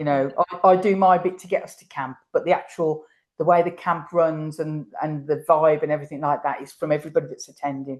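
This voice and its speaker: A woman speaks at a fairly quick pace with a very deep, low pitch. Her intonation stays fairly even while her loudness swings widely. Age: 60s. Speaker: horse camp organiser and rider. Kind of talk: interview conversation. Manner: repetitive, hesitant restarts.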